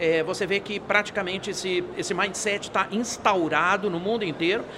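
Against noticeable background noise, a man talks at a moderate pace with a high pitch. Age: 60s. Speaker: futurist speaker. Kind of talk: interview. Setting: event studio. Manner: animated.

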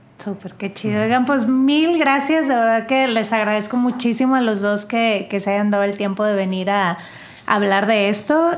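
A woman speaks with lively intonation. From northern Mexico. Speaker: podcast host. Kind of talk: casual chat.

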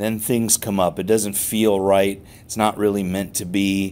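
A man with an ordinary speaking voice talks at a fairly low pitch. His pace is fairly slow and his intonation fairly even. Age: 50s. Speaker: chiropractor and podcast host. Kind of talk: motivational talk with guided meditation. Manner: soothing guided meditation delivery.

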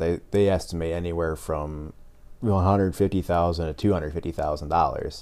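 A man speaks with an American accent. His pitch is very deep and low, and his tone dark and mellow. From rural Iowa, US Midwest. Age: 20s. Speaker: college student. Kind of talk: casual chat.

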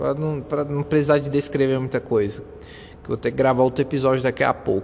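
A man with a fairly high pitch talks against noticeable background noise. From Brazil. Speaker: podcaster. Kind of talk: motivational monologue. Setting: outdoors.

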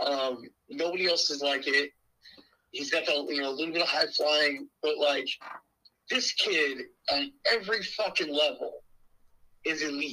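A man talks at a moderate pace, with long, frequent pauses. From rural Pennsylvania. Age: 20s. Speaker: pro wrestler and booker. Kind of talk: casual interview chat.

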